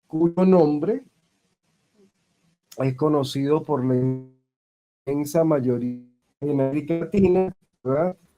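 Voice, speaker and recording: A man talks at a very slow pace with fairly even intonation while music plays in the background. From Venezuela. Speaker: voice actor and acting teacher. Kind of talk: interview. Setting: video call. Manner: formal. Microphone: dropping connection.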